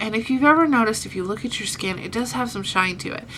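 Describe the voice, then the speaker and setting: Noticeable background noise sits under the recording. A woman speaks with lively intonation. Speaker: beauty vlogger. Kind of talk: casual talk to camera.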